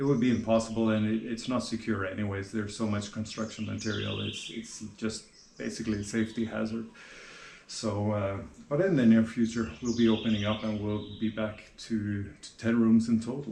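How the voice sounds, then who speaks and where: Medium-pitched male speech in a Norwegian accent, monotone and flat, at a fairly quick pace with audible room echo. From Norway. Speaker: vlogger and guesthouse owner. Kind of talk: casual vlog talk to camera. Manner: hesitant, many fillers and repetitions.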